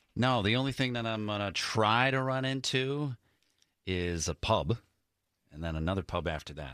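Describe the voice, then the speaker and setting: A man with a Midwestern accent speaks in a fairly low, bright, sharp voice with lively intonation and long, frequent pauses. The recording is very clean with a silent background. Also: moderate pace. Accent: American Midwestern. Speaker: radio host. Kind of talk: casual chat.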